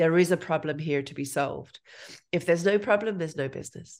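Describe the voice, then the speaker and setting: With an Irish accent, a woman talks at a fairly quick pace in a fairly low voice with ordinary pitch variation against a quiet background. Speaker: entrepreneurship lecturer. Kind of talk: interview. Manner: careful enunciation.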